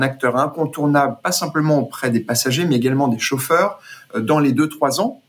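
Fairly high-pitched male speech, its pitch moving in an ordinary way. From grew up abroad: Brazil, French Guiana, Guadeloupe. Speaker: ride-hailing company executive. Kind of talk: interview. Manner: halting, many repeated words and fillers.

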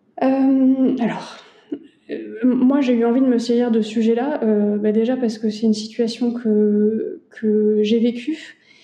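Very slowly and with very even loudness, a fairly high-pitched woman speaks in fairly even intonation against noticeable background noise. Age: 30s. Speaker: lawyer and family caregiver. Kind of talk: interview testimony.

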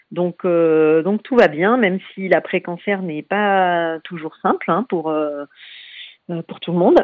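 A woman with a fairly low pitch at a very slow pace, ordinary pitch variation, and big swings in loudness. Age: 40s. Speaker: cancer survivor and association founder. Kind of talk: interview. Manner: hesitant, many fillers.

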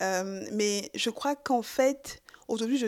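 A woman with a fairly high pitch, in a very clean recording with a silent background. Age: 20s. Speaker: podcast guest, feminist believer. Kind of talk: interview. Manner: hesitant, many fillers.

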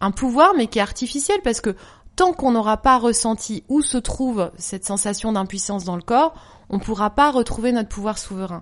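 Lively intonation marks this woman's fairly high voice, delivered at a moderate pace. She has an ordinary speaking voice. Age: 40s. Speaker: yoga teacher, former journalist. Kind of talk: casual interview.

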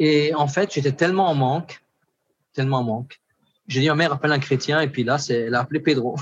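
A man's fairly high voice at a very fast pace, with fairly even intonation, very even loudness, and long, frequent pauses. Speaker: pastor. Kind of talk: testimony.

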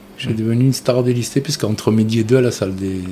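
A man's medium-pitched voice at a very fast pace, fairly even in intonation, over noticeable background noise. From Tunisia (Carthage, near Tunis). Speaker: artist. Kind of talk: interview. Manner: hesitant, many fillers.

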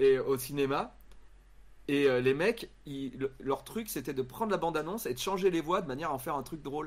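In a very clean recording with a silent background, a man with an ordinary speaking voice talks at a moderate pace, fairly high in pitch and lively in intonation. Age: 40s. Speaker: YouTuber and comedian. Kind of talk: casual chat. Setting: live stream.

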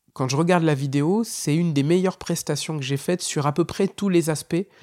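In a very clean recording with a silent background, a man speaks at a moderate pace. His pitch is high, with ordinary variation. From northern France. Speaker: stand-up comedian. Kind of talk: casual monologue.

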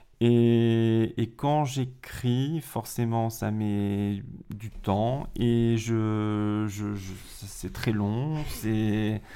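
Very slow in pace, a man speaks in a dark, mellow tone with fairly even intonation. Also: medium pitch for a man. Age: 40s. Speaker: school teacher, drama teacher. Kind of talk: casual chat.

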